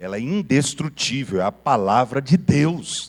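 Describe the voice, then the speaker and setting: A man's voice with very wide pitch swings. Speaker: pastor teaching a Bible class. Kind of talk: sermon-style Bible lesson. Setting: church with PA system.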